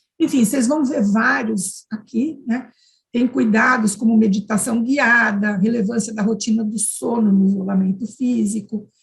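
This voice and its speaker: A somewhat breathy, fairly high female voice at a fairly slow pace with ordinary pitch variation. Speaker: university professor, conference panelist. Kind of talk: conference presentation.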